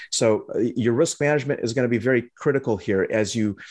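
With an American accent, a man in an ordinary speaking voice talks at medium pitch and a fairly quick pace, with ordinary pitch variation, over a quiet background. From Lebanon, raised in the US from age four. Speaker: trading educator and company CEO. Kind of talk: interview.

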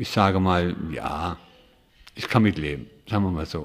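Here a man speaks in a low voice. His pitch shows ordinary variation. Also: moderate pace.

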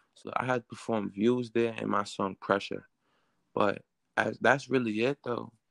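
Against a quiet background, a man with a New York accent talks at a moderate pace in a medium pitch, his delivery monotone and flat, the sound dry and close with no echo. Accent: New York City. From Queens, New York. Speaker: rapper. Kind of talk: interview.

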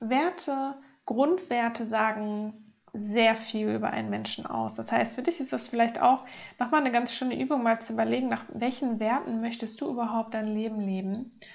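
A woman talks fairly slowly in a somewhat breathy voice. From Germany, North Rhine-Westphalia. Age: 30s. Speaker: podcast host and life coach. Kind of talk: personal monologue.

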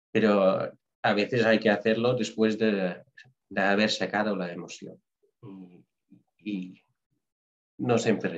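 A man talks slowly at a fairly low pitch with fairly even intonation. He leaves long, frequent pauses. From Netherlands. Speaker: nurse. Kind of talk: interview.

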